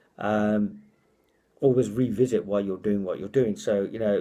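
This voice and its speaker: In a British accent, the voice has a dark, mellow tone and ordinary pitch variation. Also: man. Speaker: motivational speaker. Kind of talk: casual vlog monologue. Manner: fast; halting, repeats words.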